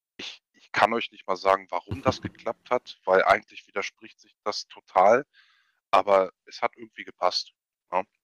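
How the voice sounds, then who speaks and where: A man's plain, everyday voice, fairly low in pitch, at a moderate pace with fairly even intonation and big swings in loudness, dry and close with no echo. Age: 20s. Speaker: esports team captain. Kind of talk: podcast interview.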